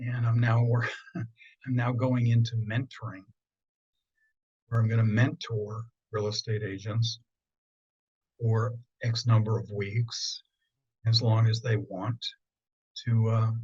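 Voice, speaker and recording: A man with an American accent speaks at a very slow pace with long, frequent pauses. His medium-pitched voice is somewhat breathy and his intonation flat and monotone. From central Pennsylvania. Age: 70s. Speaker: feng shui consultant. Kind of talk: interview.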